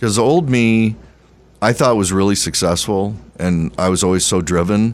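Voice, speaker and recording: A man speaks at a moderate pace in a fairly low pitch with ordinary pitch variation. His loudness is very even. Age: 60s. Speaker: podcast co-host. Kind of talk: casual chat. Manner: animated, halting.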